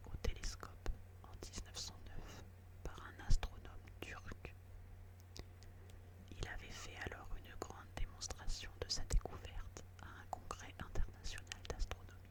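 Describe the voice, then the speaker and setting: Over noticeable background noise, the speaker whispers fairly slowly, leaving long, frequent pauses. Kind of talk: whispered audiobook reading of a classic story, ASMR. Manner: whispered, soft, slow.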